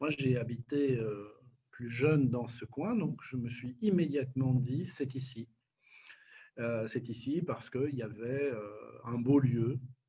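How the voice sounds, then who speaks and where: Very slowly, with long, frequent pauses, a man speaks at a medium pitch in a somewhat breathy voice with fairly even intonation. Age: 60s. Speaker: nonprofit director. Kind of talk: interview. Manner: hesitant, many fillers.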